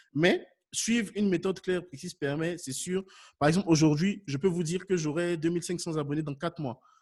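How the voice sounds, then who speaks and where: An animated tone with ordinary pitch variation. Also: man. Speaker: YouTube consultant for businesses. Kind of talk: webinar Q&A. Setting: online webinar. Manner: fast.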